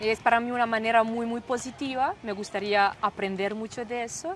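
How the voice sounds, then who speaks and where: Noticeable background noise runs through the clip. A woman speaks with a Serbian accent. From Serbia, Niš. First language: Serbian (speaking Spanish). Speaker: German teacher. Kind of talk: interview. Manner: halting, searching for words.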